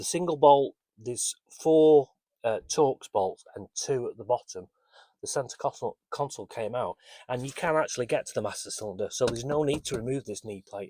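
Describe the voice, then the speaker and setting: A man with a British accent mumbles at a fairly quick pace, his fairly high pitch showing ordinary variation in a dry, close recording with no echo. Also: very clean recording, silent background. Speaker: amateur car restorer. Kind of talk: casual workshop walkaround to camera. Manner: hesitant, mumbling.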